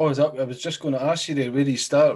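The speaker has a Scottish accent and a monotone, flat intonation. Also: man. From Scotland. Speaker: podcast host. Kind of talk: casual interview.

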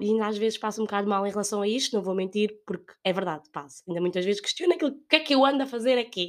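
A woman speaks with a European Portuguese accent. Her intonation is lively. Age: 20s. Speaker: podcast host. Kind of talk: solo monologue, casual. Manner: hesitant, with laughs.

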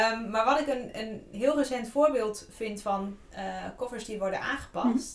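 Amid audible room echo and noticeable background noise, a woman speaks fairly quickly at a fairly high pitch with lively intonation. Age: 30s. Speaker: podcast co-host and book cover designer. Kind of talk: scripted outro; casual chat.

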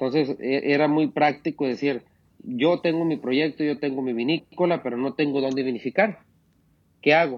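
His voice sits fairly high for a man, with ordinary pitch variation and a moderate pace. He leaves long, frequent pauses. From Mexico, Sinaloa. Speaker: winemaker. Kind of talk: interview. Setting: wine cellar. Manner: halting.

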